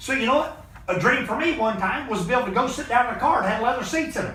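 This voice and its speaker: An extremely high-pitched man with a raised, projected voice, very fast pace and lively intonation, over noticeable background noise and audible room echo. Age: 50s. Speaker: motivational business mentor. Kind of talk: motivational talk on a group call. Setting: video call. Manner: animated.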